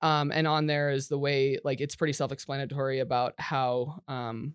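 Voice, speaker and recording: On a very clean recording with a silent background, a woman with an American accent speaks at a moderate pace, her very deep, low voice keeping fairly even intonation. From Colorado. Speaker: ministry worker with student athletes. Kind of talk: casual interview. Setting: studio.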